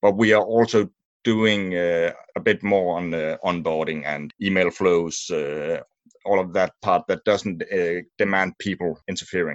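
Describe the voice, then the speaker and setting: A man with a Danish accent speaks at a fairly slow pace with a very deep, low pitch and fairly even intonation, in a dry, close sound with no echo. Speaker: media sales and service manager. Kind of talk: interview. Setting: remote recording.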